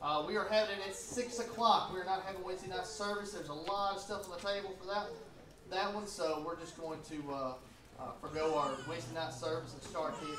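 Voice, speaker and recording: A man speaks very fast in a high voice. Audible room echo and noticeable background noise fill the recording. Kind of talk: church announcements to a congregation. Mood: warm, festive Easter greeting. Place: church.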